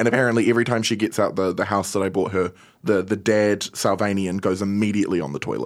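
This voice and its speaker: Very clean and silent in the background, the recording captures a man with a New Zealand accent. He talks at a very fast pace with fairly even intonation. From New Zealand, Wellington. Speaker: podcast producer. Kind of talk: casual chat. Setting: studio.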